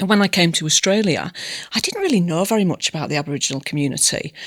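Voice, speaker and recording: This is a woman speaking with a British accent. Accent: broad British. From England. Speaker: community service manager. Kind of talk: podcast interview. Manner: halting, many fillers.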